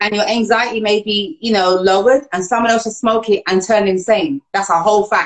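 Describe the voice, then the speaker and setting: In a normal speaking voice, a woman talks at a fairly quick pace and a fairly high pitch with hardly any pauses. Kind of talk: live talk show hosting. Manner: upbeat.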